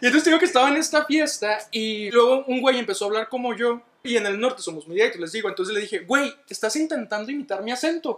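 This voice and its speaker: The speech runs at a very fast pace with hardly any pauses and lively intonation. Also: man, extremely high pitch for a man. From northern Mexico, Ciudad Juárez, Chihuahua. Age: 20s. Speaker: guest. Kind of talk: casual chat.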